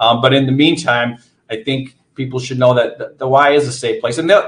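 A somewhat breathy man with an American accent and fairly even intonation. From central Wisconsin, US. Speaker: nonprofit CEO. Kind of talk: interview.

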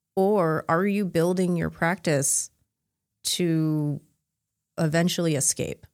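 A woman's fairly low voice at a very slow pace, fairly even in intonation, with long, frequent pauses, in a dry, close sound with no echo and a very clean recording with a silent background. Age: 40s. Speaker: podcast host and life coach for Chinese medicine practitioners. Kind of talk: casual chat.

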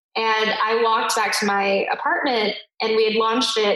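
An ordinary speaking voice comes from a woman with an American accent and fairly high pitch. Her intonation is fairly even. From US. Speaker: education research company CEO, former teacher. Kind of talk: interview conversation.

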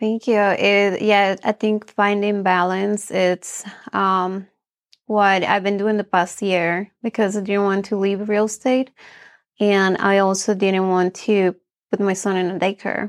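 Monotone, flat delivery in a Spanish accent at a fairly slow pace. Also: woman, medium pitch for a woman, dry, close sound with no echo, quiet background. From Bolivia. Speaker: real estate agent. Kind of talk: interview.

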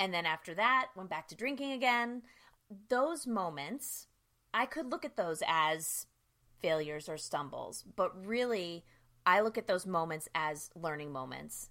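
A woman with an American accent speaks at a fairly slow pace in a bright, sharp tone, at medium pitch with very wide pitch swings. Her loudness swings widely, and the recording is very clean with a silent background. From US East Coast (New Jersey, Philadelphia area, Bronx). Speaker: sobriety coach. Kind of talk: interview.

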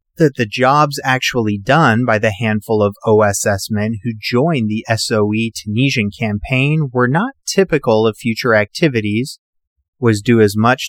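On a very clean recording with a silent background and a dry, close sound with no echo, a man with a plain, everyday voice speaks at medium pitch, with ordinary pitch variation and a moderate pace. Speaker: podcast host. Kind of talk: history documentary narration. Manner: measured, steady storytelling delivery; formal, clear, informative.

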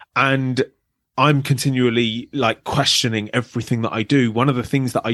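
At a fairly quick pace, a man talks in a medium pitch, the sound dry and close with no echo against a quiet background. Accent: British. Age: 30s. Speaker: abuse survivor and advocate. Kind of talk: interview.

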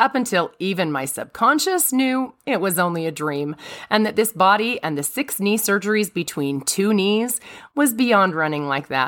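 A woman speaks at a moderate pace with very wide pitch swings around a medium pitch. The recording is very clean, with a silent background. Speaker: religious podcast host. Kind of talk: devotional monologue.

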